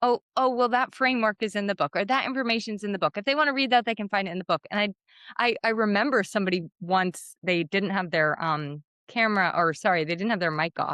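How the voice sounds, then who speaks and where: The speech comes at a very fast pace with lively intonation. Its tone is bright and sharp. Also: woman, medium pitch for a woman, dry, close sound with no echo, quiet background. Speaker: podcast host. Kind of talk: interview conversation.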